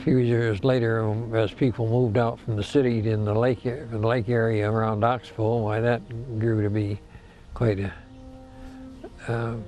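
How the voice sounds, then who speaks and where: Over music in the background, a man with an American accent speaks at a moderate pace and a medium pitch, with monotone, flat intonation and long, frequent pauses. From Michigan, US Midwest. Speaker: elderly interviewee recounting local history. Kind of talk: oral history interview. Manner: halting, many false starts.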